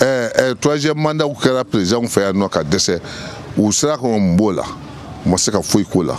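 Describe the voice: Over faint background noise, a man speaks with lively intonation, a fairly low pitch and a slightly mellow tone. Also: moderate pace.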